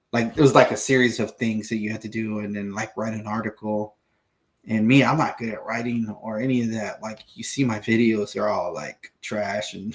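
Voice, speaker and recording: In an American accent, a man speaks at a moderate pace with a medium pitch and monotone, flat intonation. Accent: Texan, comes out sometimes. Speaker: fishing podcast co-host. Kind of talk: casual chat. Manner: halting, many fillers.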